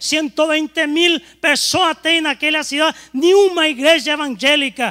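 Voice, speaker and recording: Raised and projected, a man's voice sits extremely high in pitch, bright and sharp in tone, moving at a moderate pace in a dry, close sound with no echo. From Paraguay. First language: Spanish (speaking Portuguese). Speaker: pastor. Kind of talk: sermon. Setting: church.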